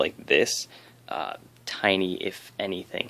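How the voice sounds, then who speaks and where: Soft-spoken, a man talks at a very slow pace. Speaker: 3D printing hobbyist YouTuber. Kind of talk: casual tutorial. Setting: home at night. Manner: hesitant, many fillers. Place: home room. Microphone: phone near.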